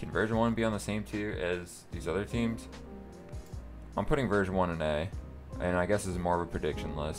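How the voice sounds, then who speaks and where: A man's very deep, low voice at a very fast pace, lively in intonation, with music in the background. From North America. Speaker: gaming content creator. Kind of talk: casual talk to camera.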